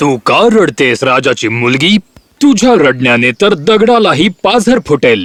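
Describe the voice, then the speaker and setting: A man does a put-on character voice, croaky and fairly high-pitched, with very wide pitch swings. He talks at a very slow pace while music plays in the background. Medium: cartoon. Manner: croaking interjections.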